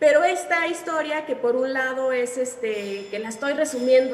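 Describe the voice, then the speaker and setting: A woman's high voice at a fairly slow pace over noticeable background noise. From Mexico. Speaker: author being interviewed. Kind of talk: literary interview answer.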